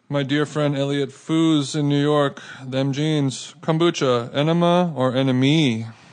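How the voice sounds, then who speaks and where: With an unremarkable speaking voice, a man talks at a fairly high pitch with very even loudness, fairly even intonation and hardly any pauses. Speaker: food podcast host. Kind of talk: casual chat.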